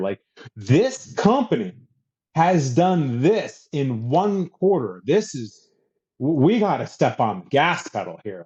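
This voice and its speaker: The voice has an animated tone with very wide pitch swings. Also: man. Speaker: author and business leader. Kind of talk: podcast interview. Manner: loud when passionate.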